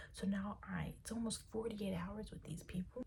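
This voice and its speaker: Audible room echo around a woman talking at a fairly quick speed. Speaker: vlogger. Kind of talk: casual chat.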